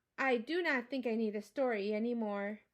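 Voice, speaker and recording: Put-on character voice from a woman, pitched fairly high and moving at a moderate pace. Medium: read story.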